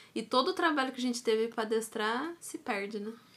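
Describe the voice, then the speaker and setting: A woman talks at a fairly quick pace with a high pitch. Her tone is bright and sharp, and her intonation is lively. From Brazil, Taubaté (São Paulo state). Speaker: dog trainer and podcast co-host. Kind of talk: casual chat.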